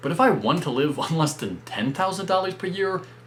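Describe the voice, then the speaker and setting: Noticeable background noise sits behind a man who speaks with an American accent. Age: 20s. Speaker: personal finance youtuber. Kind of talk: explainer video monologue.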